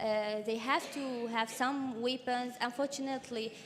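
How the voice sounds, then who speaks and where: Fairly slow, fairly even speech with a Syrian accent. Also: woman. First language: Arabic. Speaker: activist. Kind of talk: testimony. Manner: halting, many fillers.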